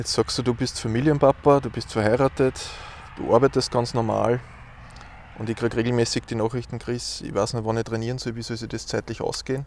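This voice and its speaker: A man speaks at a fairly quick pace in a medium-pitched voice with a monotone, flat intonation. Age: 30s. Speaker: podcast host. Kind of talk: interview. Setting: outdoors.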